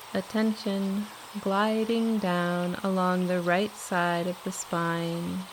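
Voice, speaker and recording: A woman speaks at a very slow pace in a calm, soothing tone, at medium pitch. Her intonation is monotone and flat, and her loudness stays very even. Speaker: guided meditation teacher. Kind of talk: guided meditation, yoga nidra body scan. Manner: slow, calm, soothing.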